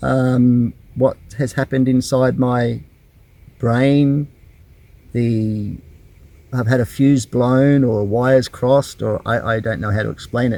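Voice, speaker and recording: A man with an Australian accent speaks at a fairly slow pace with long, frequent pauses. His medium-pitched voice has a dark, mellow tone and monotone, flat intonation. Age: 50s. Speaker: YouTuber. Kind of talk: personal vlog. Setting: in a camper van. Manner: halting.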